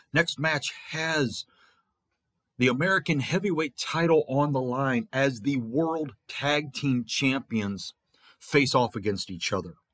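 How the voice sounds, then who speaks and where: A man with a plain, everyday voice, fairly high in pitch, speaks with lively intonation on a very clean recording with a silent background. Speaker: fantasy wrestling promoter and show host. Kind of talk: scripted-style play-by-play recap of fantasy wrestling results, like a ring announcer. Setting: podcast recording.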